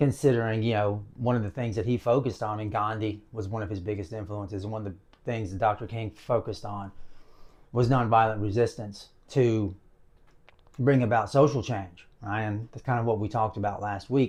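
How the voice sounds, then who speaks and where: A man with a Southern US accent speaks at a fairly quick pace in a somewhat breathy voice. His pitch is fairly low and his intonation fairly even. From US South. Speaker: video blogger. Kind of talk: casual monologue to camera. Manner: casual, with many fillers.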